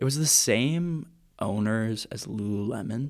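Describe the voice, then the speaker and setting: In a very clean recording with a silent background, a man talks with ordinary pitch variation. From Vancouver, Canada. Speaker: co-host of student podcast. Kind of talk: casual chat between friends. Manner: casual, joking.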